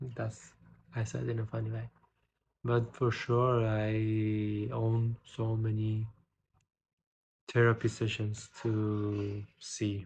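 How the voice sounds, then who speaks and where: In a non-native accent, a man speaks very slowly at a medium pitch, somewhat breathy, with monotone, flat intonation. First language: not English. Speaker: poet and vlogger. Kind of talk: casual vlog with poetry reading. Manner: reading aloud poems.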